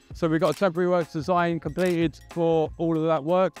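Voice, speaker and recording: At a fairly quick pace, the speech has a dry sound with no echo and faint music in the background. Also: man. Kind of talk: site tour explanation. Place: factory. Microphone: lapel.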